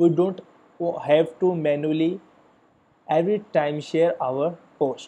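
A man speaks fairly slowly with long, frequent pauses and a dark, mellow tone. His pitch is fairly high, with fairly even intonation. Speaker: YouTube tutorial creator. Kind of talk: tutorial.

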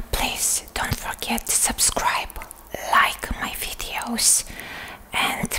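Whispering from a soft-spoken woman over noticeable background noise. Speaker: content creator. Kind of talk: casual to-camera chat. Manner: soft ASMR whisper to viewers. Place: home room.

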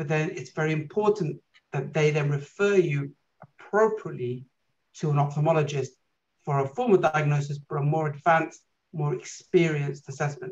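Here a man with a British accent talks at a fairly high pitch with ordinary pitch variation. His pace is moderate and the background quiet. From UK. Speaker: eye doctor; guest. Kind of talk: lecture. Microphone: video call.

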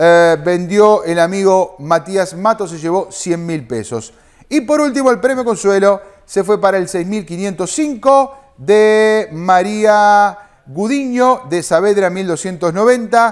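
High-pitched and upbeat in tone, a man speaks at a very slow pace with lively intonation. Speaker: bingo results announcer. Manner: brisk, rhythmic, upbeat and formulaic.

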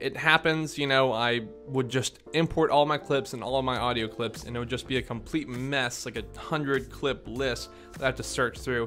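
Music plays behind the voice. A man talks at a moderate pace. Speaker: video editing tutor. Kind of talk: tutorial. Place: home room. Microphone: studio mic.

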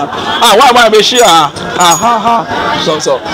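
With crowd noise behind him, a man talks at a high pitch with ordinary pitch variation. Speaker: vlogger. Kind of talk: casual vlog chat. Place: street. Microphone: phone near.

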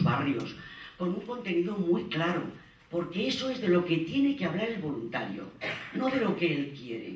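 A high-pitched man with very wide pitch swings, in a room with audible echo and light background noise. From Zaragoza, Aragon, Spain; Aragon. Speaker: conference panelist. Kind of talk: conference talk. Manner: animated, informal. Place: hall.

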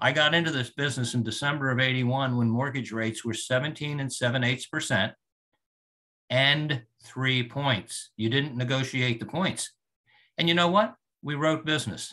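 A man talks at a moderate pace in a bright, sharp tone, with medium pitch and ordinary pitch variation. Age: 60s. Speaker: mortgage loan officer. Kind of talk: client testimonial interview.

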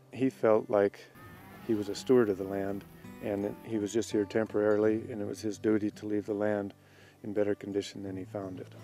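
Over faint background music, a man speaks fairly quickly at a fairly low pitch, his intonation monotone and flat, with a dry sound and no echo. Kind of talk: interview answer. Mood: calm, reflective. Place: open country. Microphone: lapel.

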